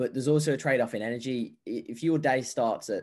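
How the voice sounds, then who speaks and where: Against a quiet background, a man talks at a fairly quick pace in a normal speaking voice with ordinary pitch variation. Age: 20s. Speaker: health and fitness coach. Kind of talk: casual chat.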